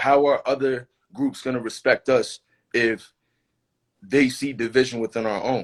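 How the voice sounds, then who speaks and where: This is a man with a plain, everyday voice at medium pitch. He keeps a moderate pace with ordinary pitch variation. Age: 20s. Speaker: activist. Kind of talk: casual chat. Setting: Instagram live stream.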